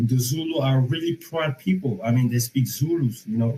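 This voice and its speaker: The man's voice has a dark, mellow tone and is somewhat breathy. He speaks at a moderate pace. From Senegal. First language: Wolof. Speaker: caller. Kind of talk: heated debate. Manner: halting.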